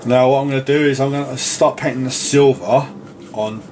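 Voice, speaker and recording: Noticeable background noise sits behind a man who speaks fairly slowly at medium pitch. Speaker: miniature painter and wargaming hobbyist. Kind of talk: casual talk to camera. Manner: relaxed, rambling.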